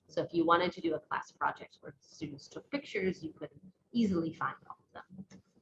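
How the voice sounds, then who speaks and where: A woman speaks at a fairly quick pace. Her fairly low pitch shows ordinary variation. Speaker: science educator presenter. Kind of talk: webinar presentation. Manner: fast.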